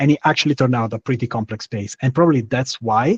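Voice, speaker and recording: A man with an Italian accent at a medium pitch, in a dry, close sound with no echo. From Italy. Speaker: startup founder, architect. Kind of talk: webinar product presentation.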